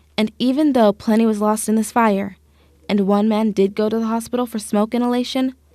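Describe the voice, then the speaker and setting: A woman with an American accent speaks in a fairly high pitch with a dark, mellow tone. Her intonation stays fairly even at a moderate pace. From Utah, Salt Lake City. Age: 20s. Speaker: TV news reporter. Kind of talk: news report narration.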